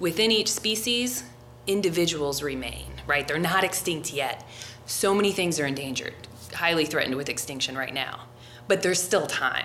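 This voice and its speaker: A woman speaks at a moderate pace in an American accent, her pitch fairly low and her intonation lively. Noticeable background noise and audible room echo surround her voice. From US Midwest, Cincinnati suburbs. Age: 40s. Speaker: martial arts coach and biologist. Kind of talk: casual chat. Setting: gym.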